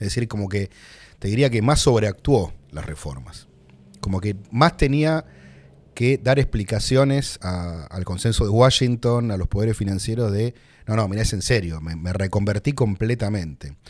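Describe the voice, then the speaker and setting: Lively intonation marks a man's fairly low voice at a moderate pace. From Buenos Aires, Argentina; Argentina. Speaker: economist and politician; politician. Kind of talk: interview conversation. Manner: hesitant, many fillers. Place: studio. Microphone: studio mic.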